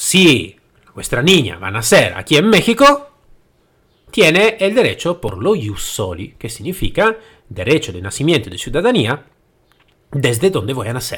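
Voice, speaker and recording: A man with an Italian accent speaks at a fairly slow pace and fairly high pitch, showing vocal fry. His pitch swings very widely, his loudness swings a lot, and he takes long, frequent pauses. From Italy. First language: Italian (speaking Spanish). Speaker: podcast host, trainer and consultant. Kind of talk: solo podcast monologue. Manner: halting, with hesitations.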